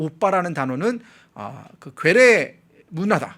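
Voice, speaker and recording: A man's high voice sweeps through very wide pitch swings. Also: very clean recording, silent background. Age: 30s. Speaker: political commentator. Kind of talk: news commentary.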